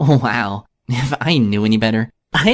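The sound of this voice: An unforced reading voice, its pitch varying in an ordinary way, comes through over a quiet background.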